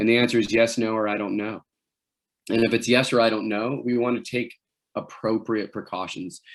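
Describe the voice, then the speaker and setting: A man's voice sits at a medium pitch. Behind him, the background stays quiet. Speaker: wilderness medicine instructor. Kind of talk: lecture. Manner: fast.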